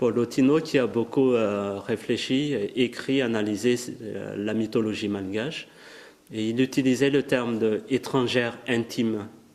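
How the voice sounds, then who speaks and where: A man with a Malagasy accent at a medium pitch, fairly slow and fairly even in intonation, over noticeable background noise. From Madagascar. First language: Malagasy (speaking French). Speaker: writer. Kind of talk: lecture. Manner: halting.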